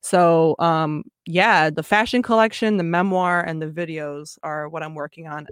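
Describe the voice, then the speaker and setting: A woman with an unremarkable speaking voice and an American accent talks at a moderate pace in a fairly low pitch. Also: ordinary pitch variation, very clean recording, silent background. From Michigan, with years in Belgium and Japan. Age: 20s. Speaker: fashion designer and multidisciplinary artist. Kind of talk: casual interview.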